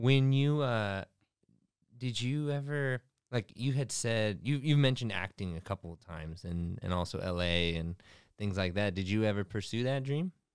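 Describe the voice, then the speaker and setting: Over a silent background in a very clean recording, a man with a plain, everyday voice speaks at a moderate pace with fairly low pitch and lively intonation. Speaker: company executive and podcast co-host. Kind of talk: casual interview. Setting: studio.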